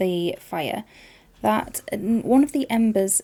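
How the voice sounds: The speaker reads in a natural voice.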